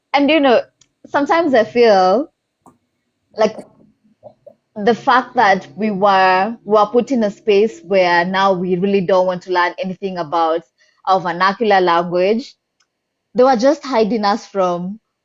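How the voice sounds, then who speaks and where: In a Kenyan accent, a woman speaks in an animated tone at a fairly slow pace with long, frequent pauses, a medium pitch and ordinary pitch variation. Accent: Kikuyu-accented English. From Kenya, central (Kikuyu). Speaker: poet. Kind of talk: casual interview chat.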